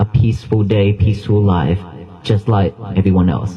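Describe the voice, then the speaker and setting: Against noticeable background noise, a man speaks fairly slowly at a fairly low pitch. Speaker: Buddhist monk. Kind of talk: dharma talk. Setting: temple hall. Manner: calm, soft-spoken.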